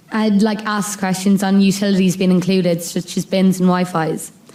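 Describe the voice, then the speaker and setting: A woman talks at a moderate pace and a medium pitch. Her tone is dark and mellow, and her intonation stays monotone and flat. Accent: western Irish. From Ireland (west: Mayo, Sligo, Clare). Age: 20s. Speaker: student speaker sharing lived experience. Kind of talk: prepared speech / testimony. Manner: reading from a script, some pauses.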